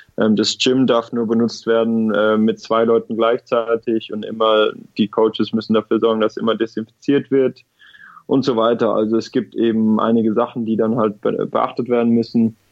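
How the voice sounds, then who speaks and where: Monotone and flat in intonation, a man with a medium pitch talks at a moderate pace. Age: 20s. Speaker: professional tennis player. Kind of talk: interview.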